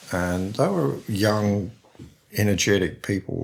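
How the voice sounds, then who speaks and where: A man with an Australian accent. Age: 70s. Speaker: painter and printmaker. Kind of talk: interview conversation. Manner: hesitant, repeats words.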